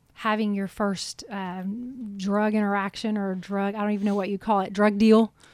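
Speaking in a Southern US accent, a woman uses a medium pitch at a fairly slow pace. Her intonation is monotone and flat. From Alabama, US South. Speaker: podcast host and journalist. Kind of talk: casual interview.

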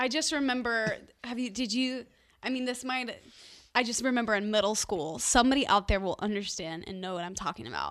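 With an American accent, a woman talks in an unremarkable speaking voice, her fairly high pitch showing ordinary variation. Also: fairly quick pace. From US South, Nashville. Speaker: singer. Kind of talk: casual chat.

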